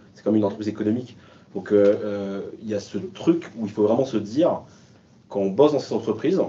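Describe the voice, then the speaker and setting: A man's fairly low, dark, mellow voice at a very fast pace, with ordinary pitch variation. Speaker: sustainability manager at a company. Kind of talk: panel discussion. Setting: remote video call.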